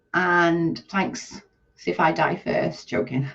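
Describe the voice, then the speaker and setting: A woman with vocal fry speaks at a fairly low pitch with ordinary pitch variation. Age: 40s. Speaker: live streamer. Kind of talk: casual chat. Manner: animated.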